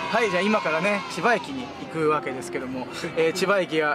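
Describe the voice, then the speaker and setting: Fairly quick speech, dry with no echo, over clear background music. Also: man. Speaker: vlogger on a car trip. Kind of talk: casual vlog chat. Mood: cheerful, joking. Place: car. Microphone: phone near.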